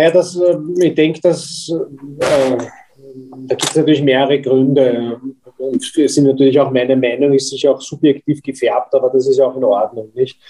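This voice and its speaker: It's a man with a plain, everyday voice, pitched fairly high. He talks at a moderate pace with very even loudness. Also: fairly even intonation. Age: 50s. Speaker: company executive. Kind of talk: interview.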